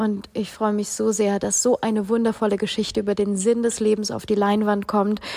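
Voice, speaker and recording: A woman's medium-pitched voice, monotone and flat, at a fairly quick pace with hardly any pauses, over noticeable background noise. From Ukraine, raised largely in Germany. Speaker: spiritual podcast host. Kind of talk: podcast intro monologue in German.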